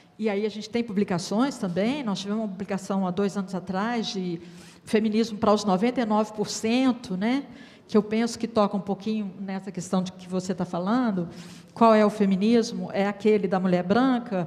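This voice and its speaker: A somewhat breathy woman with a fairly high pitch speaks at a moderate pace. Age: 60s. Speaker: women's rights council member. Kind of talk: panel discussion.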